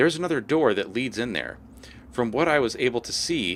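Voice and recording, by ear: With ordinary pitch variation, this voice is reading aloud in a natural voice.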